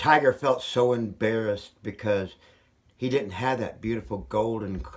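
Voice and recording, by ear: Someone is reading aloud in a natural voice. The text is read through.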